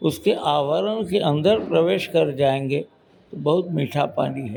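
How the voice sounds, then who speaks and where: Lively intonation marks a man's plain, everyday voice, pitched fairly high. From Varanasi, north India. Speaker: senior journalist. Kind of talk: interview.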